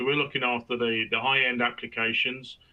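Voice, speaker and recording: Medium pitch from a man speaking with a British accent. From Britain. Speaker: industry strategy executive. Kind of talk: webinar presentation. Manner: hesitant, many fillers.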